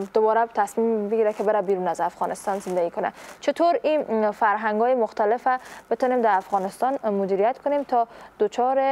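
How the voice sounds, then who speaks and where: At a fairly quick pace, a woman with a fairly high pitch and a dark, mellow tone speaks at very even loudness with ordinary pitch variation. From Afghanistan. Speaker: morning show host. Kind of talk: interview. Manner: formal. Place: studio. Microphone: lapel.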